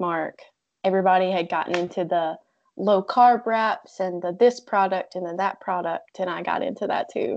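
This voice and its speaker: A woman at medium pitch with an unremarkable speaking voice, fairly even intonation and a moderate pace, over a quiet background. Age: 20s. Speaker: keto coach. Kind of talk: casual chat.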